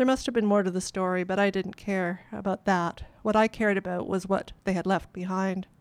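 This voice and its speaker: A woman with a Canadian accent talks fairly quickly at a medium pitch, her intonation monotone and flat. The recording is very clean, with a silent background. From Canadian prairies. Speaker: author. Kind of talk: reading aloud. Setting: stage with audience.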